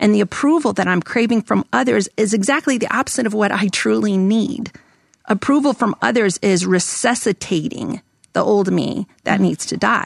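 Medium pitch for a woman, lively intonation with vocal fry, very even loudness at a moderate pace, in a dry, close sound with no echo. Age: 50s. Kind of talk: podcast interview with read-aloud passages. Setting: studio.

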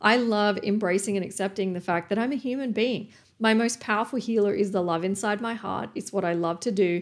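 The speaker is a woman with an Australian accent. She talks at a fairly quick pace. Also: medium pitch for a woman, ordinary pitch variation. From Australia, New South Wales. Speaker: podcast host, personal development coach. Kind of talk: motivational monologue.

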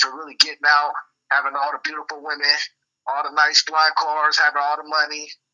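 A man talks at a fairly quick pace and fairly high pitch in monotone, flat intonation. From US Pacific Northwest, South Seattle area. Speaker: rapper. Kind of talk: interview. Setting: phone call.

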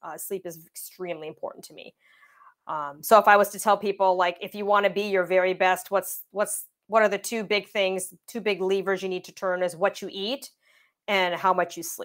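In a very clean recording with a silent background, a woman with a Canadian accent and an unremarkable speaking voice talks at a medium pitch and moderate pace, with fairly even intonation and big swings in loudness. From Windsor, Ontario, Canada. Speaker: tech company co-founder and CTO. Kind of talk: interview.

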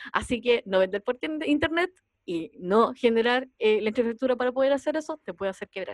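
Speaking fairly quickly with lively intonation, a woman with a Chilean accent uses a high pitch, and the sound is dry and close with no echo. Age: 40s. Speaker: podcast host, entrepreneur. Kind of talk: casual chat.

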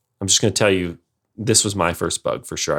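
In a very clean recording over a silent background, a man with a northern US accent speaks at a very deep, low pitch. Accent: general American, northern US. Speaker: podcast host. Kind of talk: casual chat.

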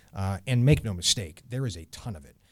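In a very clean recording with a silent background, a somewhat breathy man talks at a fairly quick pace with ordinary pitch variation. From New England. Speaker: church minister. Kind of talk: interview.

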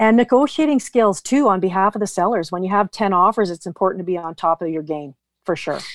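A woman with a medium pitch talks very fast with lively intonation. The sound is dry and close with no echo, over a quiet background. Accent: western Canadian. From British Columbia, Canada. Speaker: real estate team leader. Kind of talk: podcast interview.

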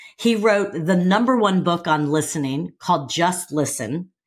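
Her voice is somewhat breathy, and her intonation is lively. The woman keeps a fairly slow pace. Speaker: podcast host. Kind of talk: podcast interview.

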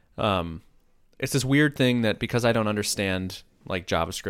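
Very fast pace and lively intonation on a very clean recording with a silent background. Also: man. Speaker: podcast co-host and programmer. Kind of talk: casual chat. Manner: goofy, animated.

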